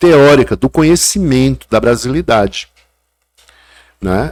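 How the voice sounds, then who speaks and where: Captured in a very clean recording with a silent background, a man speaks with a strong northeastern Brazilian accent. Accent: northeastern Brazilian, kept strong. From Brazil, Paraíba (Northeast). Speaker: chef and food historian. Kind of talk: casual chat.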